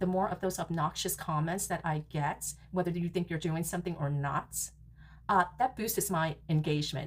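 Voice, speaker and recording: A woman with an American accent talks at a moderate pace in a fairly low pitch, with vocal fry and ordinary pitch variation. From New York. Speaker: reality TV podcaster. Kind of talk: casual recap monologue. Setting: home recording room. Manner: animated.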